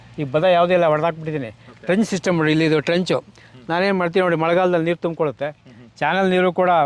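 The intonation stays fairly even. Loudness holds very even throughout. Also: man, high pitch for a man. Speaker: retired officer turned farmer. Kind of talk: farm tour interview.

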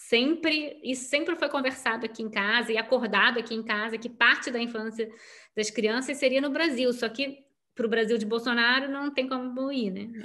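The background is quiet. A woman talks at a moderate pace in a high-pitched voice. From Rio de Janeiro, Brazil. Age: 40s. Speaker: writer; interviewee. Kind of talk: interview. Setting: video call. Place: home room. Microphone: video call.

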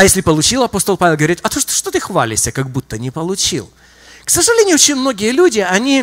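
Very wide pitch swings mark a man's high-pitched voice. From Donbas, Ukraine. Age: 50s. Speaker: visiting preacher, church minister. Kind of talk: sermon. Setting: church. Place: church. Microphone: handheld.

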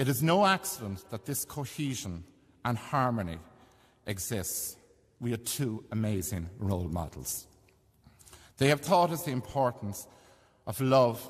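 A man at a fairly slow pace with very wide pitch swings and long, frequent pauses, over a quiet background. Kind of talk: eulogy reading. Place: church. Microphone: podium.

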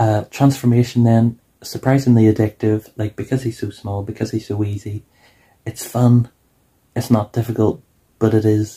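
A somewhat breathy, flat, monotone voice at a fairly quick pace against a quiet background. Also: man. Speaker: toy reviewer. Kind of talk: casual review vlog chat. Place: home room. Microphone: phone near.

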